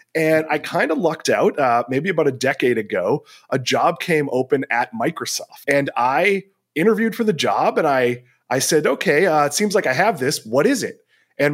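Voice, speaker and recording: A man with a normal speaking voice talks at a moderate pace with a fairly high pitch and lively intonation. The recording is very clean, with a silent background. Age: 40s. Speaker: investing journalist and analyst. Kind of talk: interview.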